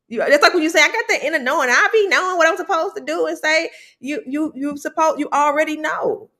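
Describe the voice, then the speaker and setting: With a raised, projected voice at an extremely high pitch, a woman speaks at a very fast pace in a bright, sharp, animated tone with lively intonation. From US South, Memphis, Tennessee. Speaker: podcast host, wellness coach. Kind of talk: casual chat. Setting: live video stream.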